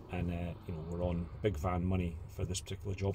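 The voice is somewhat breathy, with light background noise. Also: man. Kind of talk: casual vlog chat. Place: car. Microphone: phone near.

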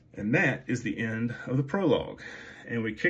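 The voice here reads in an unforced way.

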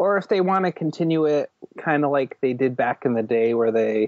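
An ordinary speaking voice from a man, with ordinary pitch variation and a moderate pace, in a dry, close sound with no echo against a quiet background. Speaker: podcast co-host. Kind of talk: casual chat.

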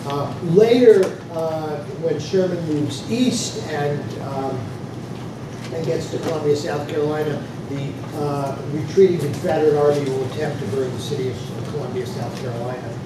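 A man with ordinary pitch variation, a moderate pace and long, frequent pauses, amid audible room echo and noticeable background noise. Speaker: lecturer. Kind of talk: lecture. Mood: jokey, relaxed. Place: classroom.

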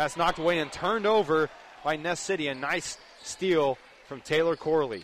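Over light background noise, a man with a fairly high pitch talks in an animated, energetic tone at a moderate pace, with ordinary pitch variation and a dry sound with no echo. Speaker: radio play-by-play announcer. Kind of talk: live sports commentary. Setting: high school gym, radio broadcast. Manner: animated, energetic, occasionally stumbling over names. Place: stadium.

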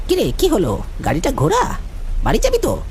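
A cartoonish character voice moves at a moderate pace. Background noise is clearly audible.

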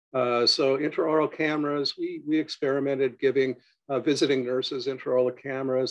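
Against a quiet background, a man talks at a moderate pace with a fairly high pitch. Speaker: dental software co-founder and dentist. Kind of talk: webinar presentation. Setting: video call. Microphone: webcam.

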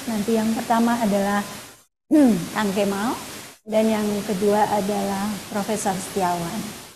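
A woman at a moderate pace, her intonation monotone and flat, with noticeable background noise. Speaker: moderator and dean. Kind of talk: event moderation. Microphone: webcam.

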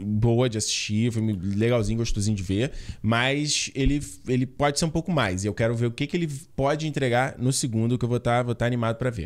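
The background is quiet. Over it, a man talks at a fairly quick pace. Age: 30s. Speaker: film podcast co-host. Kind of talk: casual chat. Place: home room. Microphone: studio mic.

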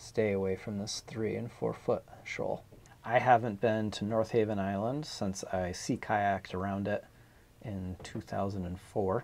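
A man speaks at a fairly slow pace with a fairly low pitch and fairly even intonation. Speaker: sailor planning anchorage. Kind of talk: explanatory vlog chat.

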